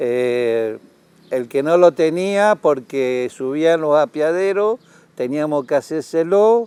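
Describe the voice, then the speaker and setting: The sound is dry and close, with no echo. A man speaks very slowly with lively intonation at a fairly high pitch. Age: 70s. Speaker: retired railway conductor. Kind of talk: interview testimony.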